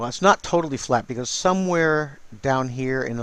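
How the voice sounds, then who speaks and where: Here a man mumbles at a moderate pace. His pitch varies in an ordinary way. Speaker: digital artist. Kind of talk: tutorial. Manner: casual; mumbling.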